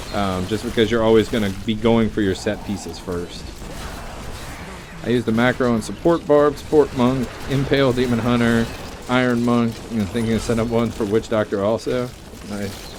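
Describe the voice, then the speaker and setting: A man with an American accent and a medium pitch talks at a moderate pace with fairly even intonation. Noticeable background noise can be heard. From US South, Louisiana. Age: 30s. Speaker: gaming streamer. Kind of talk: live gameplay commentary.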